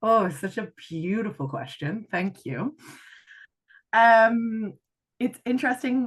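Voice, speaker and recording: Over a quiet background, a woman with a fairly high, somewhat breathy voice and lively intonation speaks at a very slow pace with long, frequent pauses. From rural Canada. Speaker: life and leadership coach. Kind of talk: podcast interview.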